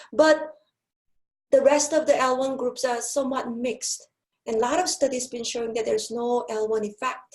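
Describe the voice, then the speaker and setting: A woman with a non-native accent, high pitch, moderate pace and ordinary pitch variation. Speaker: professor of applied linguistics. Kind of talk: lecture. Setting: webinar. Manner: hesitant with fillers.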